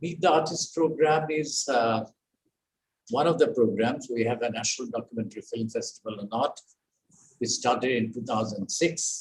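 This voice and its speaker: A man speaks in a somewhat breathy voice. His pitch shows ordinary variation. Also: medium pitch for a man, moderate pace. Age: 80s+. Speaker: artist and founder chairman of an art center. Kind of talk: welcome speech. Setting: video call. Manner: halting.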